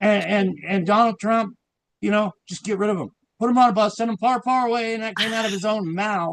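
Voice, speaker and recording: A man speaks at a fairly quick pace in a high-pitched voice, the sound dry and close with no echo. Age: 60s. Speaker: guest sharing personal story. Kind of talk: casual chat. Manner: rambling, animated.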